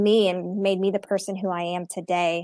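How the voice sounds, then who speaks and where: A woman at medium pitch and moderate pace, with a dry, close sound with no echo on a very clean recording with a silent background. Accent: American. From Texas. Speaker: college marketing executive. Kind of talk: interview. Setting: live stream.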